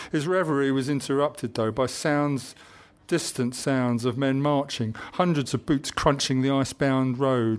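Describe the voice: Fairly even intonation in plain reading aloud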